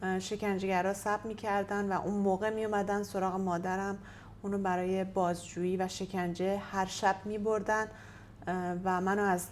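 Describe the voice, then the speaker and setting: A woman's medium-pitched voice at a moderate pace in a monotone, flat intonation. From Iran. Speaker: activist. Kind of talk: interview testimony. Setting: in-person interview via interpreter. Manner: halting.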